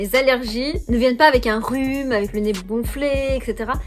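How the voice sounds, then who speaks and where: There is music in the background. A woman's voice comes over it. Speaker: YouTuber, lifestyle vlogger. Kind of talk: casual monthly favourites chat. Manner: hesitant, many fillers.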